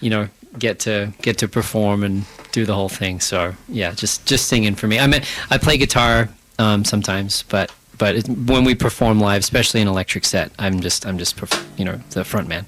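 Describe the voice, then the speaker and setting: With noticeable background noise behind it, the voice carries a slight Australian accent and ordinary pitch variation at a fairly quick pace. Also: man, fairly low pitch for a man. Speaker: band frontman and singer. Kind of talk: radio interview. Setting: radio studio.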